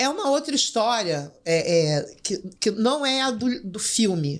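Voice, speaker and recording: The speaker talks at a very slow pace with a Rio de Janeiro accent. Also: woman. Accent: Rio de Janeiro Portuguese (carioca). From Brazil, Rio de Janeiro favela. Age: 60s. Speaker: writer and teacher, former drug trafficker. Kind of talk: podcast interview.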